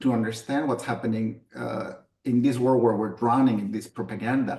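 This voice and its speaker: A man with vocal fry at medium pitch, fairly even intonation and a moderate pace. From Mexico. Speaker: software developer. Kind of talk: personal testimony. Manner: halting, many fillers.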